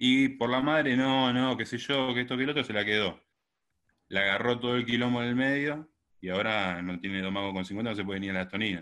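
The speaker has an unremarkable speaking voice, moving at a fairly quick pace with ordinary pitch variation. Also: man, medium pitch for a man. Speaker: caller. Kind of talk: casual conversation.

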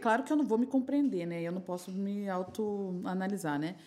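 Using a plain, everyday voice, a woman of medium pitch talks at a fairly quick pace with lively intonation. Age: 40s. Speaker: sex shop entrepreneur and sex educator. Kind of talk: casual chat.

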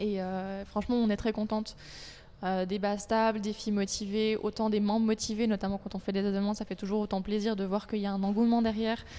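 A woman's medium-pitched voice with a dark, mellow tone, fairly quick pace and monotone, flat intonation. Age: 20s. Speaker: personal trainer and association president. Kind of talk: casual interview.

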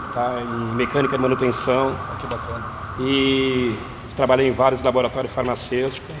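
A man speaks at a moderate pace in a medium pitch, monotone and flat, with big swings in loudness. Noticeable background noise and audible room echo surround him. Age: 60s. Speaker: street chocolate vendor. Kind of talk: casual interview. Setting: outdoors.

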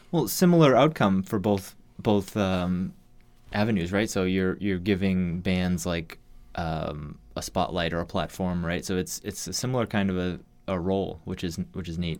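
The speaker is a man with a very deep, low pitch. He talks at a moderate speed. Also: ordinary pitch variation. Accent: American. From Massachusetts. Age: 30s. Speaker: musician. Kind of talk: casual chat.

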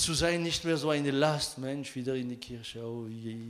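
A man at a fairly slow pace with ordinary pitch variation, audible room echo around him. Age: 50s. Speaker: pastor. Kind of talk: sermon. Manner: halting.

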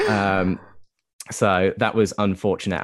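The recording is very clean with a silent background. A man's very deep, low voice moves at a fairly slow pace with fairly even intonation. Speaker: musician. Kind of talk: casual interview. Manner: hesitant, filler-heavy.

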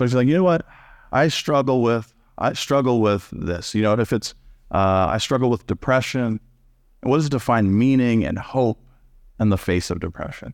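A man with an American accent uses an ordinary speaking voice at medium pitch and a moderate pace. His pitch varies normally, on a very clean recording with a silent background. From Texas. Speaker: pastor. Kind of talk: sermon. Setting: church.

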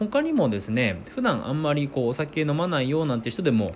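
Talking at a fairly quick pace, the man lets his pitch swing very widely. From Akita, northern Japan. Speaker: podcast host. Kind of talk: solo podcast monologue.

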